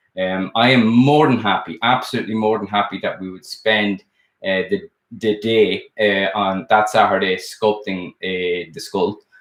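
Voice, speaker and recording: A man with an Irish accent, fairly low-pitched, with big swings in loudness. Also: fairly even intonation, moderate pace. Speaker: sculptor and art teacher. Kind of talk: live stream chat. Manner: casual, hesitant with many fillers.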